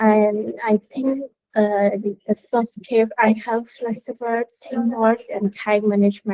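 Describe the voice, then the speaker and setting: In a Burmese accent, a woman speaks at a very slow pace. Her voice is fairly high, with a dark, mellow tone. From Myanmar. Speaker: design student. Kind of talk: student presentation. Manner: halting, non-fluent English. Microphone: video call.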